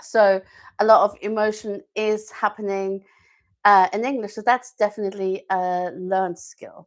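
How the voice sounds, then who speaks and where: A woman in a German accent, monotone and flat in intonation, with big swings in loudness, on a very clean recording with a silent background. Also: medium pitch for a woman, moderate pace. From Germany. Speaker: language teacher and live-stream host. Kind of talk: live-stream talk to viewers. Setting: YouTube live stream. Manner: hesitant, many fillers.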